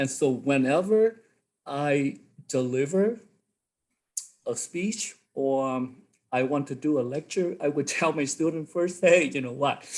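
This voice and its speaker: Someone with a Vietnamese accent speaks at a fairly slow pace, with long, frequent pauses. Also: man, fairly high pitch for a man, ordinary pitch variation. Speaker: college instructor. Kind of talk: workshop discussion. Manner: halting.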